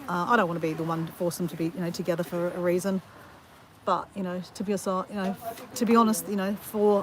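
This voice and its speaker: Against noticeable background noise, a woman in an Australian accent talks fairly quickly with ordinary pitch variation. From Australia, Southeast Queensland (north of Brisbane). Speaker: livestreamer vlogger. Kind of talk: casual chat. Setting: outdoors, walking on beach during livestream. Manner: conversational, rambling with fillers.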